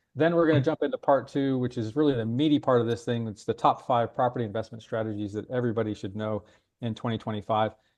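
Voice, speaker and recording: A man with an American accent, medium in pitch, at a very fast pace, with ordinary pitch variation. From United States. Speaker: webinar host. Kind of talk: webinar hosting. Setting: online webinar. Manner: hesitant, many fillers.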